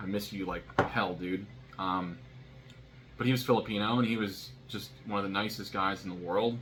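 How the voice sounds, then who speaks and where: A man with an American accent speaks at a fairly low pitch, with music in the background and audible room echo. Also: ordinary pitch variation, moderate pace. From US, military family moving between states. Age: 30s. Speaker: vlogger. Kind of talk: casual monologue vlog. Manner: halting, many fillers and restarts.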